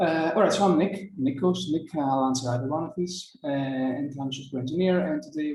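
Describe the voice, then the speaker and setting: Speaking at a fairly quick pace with ordinary pitch variation, a man with a Greek accent is heard in audible room echo. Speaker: software engineer. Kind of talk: conference talk. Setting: video call. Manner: fast.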